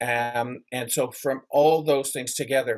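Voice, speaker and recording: In an ordinary speaking voice, a man with a Canadian accent talks at a fairly slow pace. His medium pitch follows fairly even intonation. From Canada. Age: 60s. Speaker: memorabilia collector. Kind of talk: interview.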